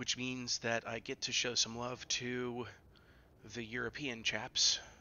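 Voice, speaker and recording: A man speaks at medium pitch. His pace is fairly slow and his intonation monotone and flat. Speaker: video game streamer. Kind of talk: live gameplay stream commentary.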